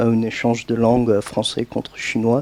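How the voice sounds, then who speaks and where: A man with an English accent, recorded with a dry, close sound and no echo. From United States. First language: English (speaking French). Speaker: language teacher, audience participant. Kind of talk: public meeting discussion. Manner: halting, many fillers and restarts.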